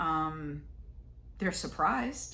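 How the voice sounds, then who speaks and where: A woman speaks with audible echo from the room. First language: Spanish. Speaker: tarot reader. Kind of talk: tarot reading monologue. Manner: casual, hesitant with many fillers.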